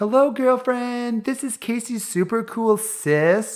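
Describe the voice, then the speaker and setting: Loud shouting comes in a put-on character voice. The pace is fairly slow. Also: female-sounding voice, fairly high pitch for a woman. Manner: yelling loudly.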